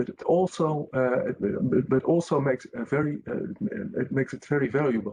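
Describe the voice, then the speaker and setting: A man with a fairly high pitch and a dark, mellow, somewhat breathy tone talks with lively intonation in a dry, close sound with no echo. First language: Dutch. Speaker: company representative. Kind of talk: webinar panel discussion. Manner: halting, many hesitations.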